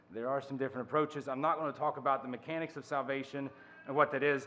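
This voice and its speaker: Light background noise accompanies a man speaking with fairly even intonation. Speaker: conference speaker. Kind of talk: lecture. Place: hall. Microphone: podium.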